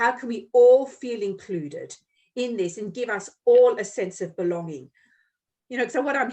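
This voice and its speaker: Against a quiet background, a woman uses an ordinary speaking voice. Her pitch is fairly high and her pace moderate. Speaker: podcast host and Reiki healer. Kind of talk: casual chat.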